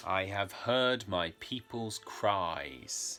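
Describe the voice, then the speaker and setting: A man puts on a booming character voice with a fairly low pitch and lively intonation. Faint music plays in the background. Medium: read story. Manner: solemn, authoritative.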